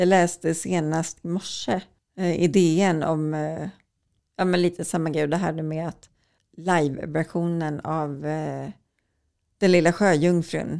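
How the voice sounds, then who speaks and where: Speaking at a very slow pace with long, frequent pauses, a woman uses a fairly low pitch, a dark, mellow tone and monotone, flat intonation. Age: 40s. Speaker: journalist and author. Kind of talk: interview conversation.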